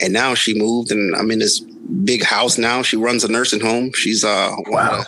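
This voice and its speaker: With an American accent, a man of medium pitch talks at a moderate pace with ordinary pitch variation, hardly any pauses and very even loudness, amid noticeable background noise and audible room echo. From Jamaica (rural). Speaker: professional bodybuilder and coach, Marine veteran. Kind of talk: casual interview.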